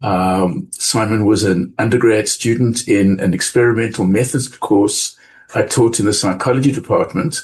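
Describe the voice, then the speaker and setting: A man with a South African accent speaks at a medium pitch and a moderate pace, somewhat breathy, with ordinary pitch variation and very even loudness. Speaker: business school professor. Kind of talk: podcast interview.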